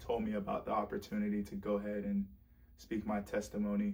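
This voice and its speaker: Speaking in a monotone, flat way, a man talks with an American accent. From South Florida, Broward County. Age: 20s. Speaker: testimony speaker. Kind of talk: testimony. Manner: halting, with fillers and repeats.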